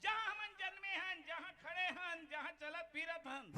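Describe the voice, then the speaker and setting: A man uses a put-on character voice at an extremely high pitch and a fairly slow pace. Clear background noise can be heard. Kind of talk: village folk-theatre comic banter. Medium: stage play. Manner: declamatory, call-and-response.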